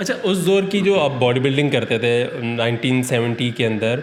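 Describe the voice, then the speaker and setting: A man speaks over noticeable background noise. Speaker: interviewer. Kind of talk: interview questions.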